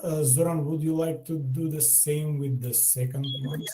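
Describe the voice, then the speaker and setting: This man has a fairly high voice and speaks with a Macedonian accent. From North Macedonia, Skopje. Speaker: language teacher. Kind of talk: online language lesson. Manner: hesitant, many fillers.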